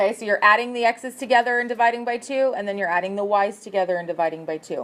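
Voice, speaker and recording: The speaker is a woman with a fairly high pitch. She has a plain, everyday voice with ordinary pitch variation. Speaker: math teacher. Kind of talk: test review lesson.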